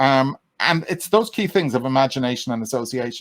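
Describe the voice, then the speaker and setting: In a very clean, silent recording with a dry, close sound and no echo, a man with an Irish accent speaks with lively intonation. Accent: calming Irish. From Ireland. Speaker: mind coach. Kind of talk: interview. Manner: halting.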